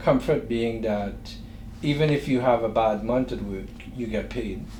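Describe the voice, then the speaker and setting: A man with a Trinidadian accent at a fairly slow pace, with audible room echo. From Trinidad and Tobago. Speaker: entrepreneur. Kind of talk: interview.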